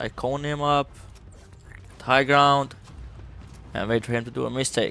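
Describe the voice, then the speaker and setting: A man's fairly high voice with a non-native accent, fairly even intonation, a moderate pace and noticeable background noise. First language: not English. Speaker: gaming YouTuber. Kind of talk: gameplay commentary tutorial; video outro. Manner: casual.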